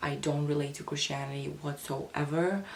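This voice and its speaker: The intonation stays monotone and flat, with noticeable background noise behind it. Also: woman. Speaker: spirituality youtuber. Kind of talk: casual talk to camera.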